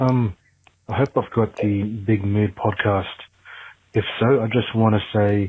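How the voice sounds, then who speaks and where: A man's fairly low, somewhat breathy voice, monotone and flat, at a fairly slow pace with very even loudness and long, frequent pauses. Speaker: caller leaving voicemail. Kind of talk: voicemail message. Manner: halting, many ums.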